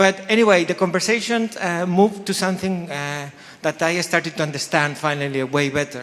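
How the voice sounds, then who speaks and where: A man speaks with a non-native accent at a fairly quick pace. His pitch is high, with ordinary variation. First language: not English. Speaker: faculty host introducing event. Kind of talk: event opening speech. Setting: lecture hall with audience. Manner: halting with many fillers.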